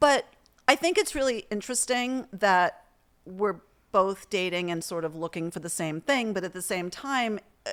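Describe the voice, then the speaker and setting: A woman speaks in a normal speaking voice at a medium pitch and moderate pace. Her intonation is lively, and her loudness swings widely. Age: 60s. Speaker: podcast host. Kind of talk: casual chat. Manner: casual, with fillers.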